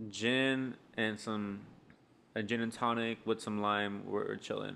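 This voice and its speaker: A man's unremarkable speaking voice at medium pitch, with ordinary pitch variation, in a very clean recording with a silent background. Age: 20s. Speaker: podcast co-host, beer reviewer. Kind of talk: casual chat.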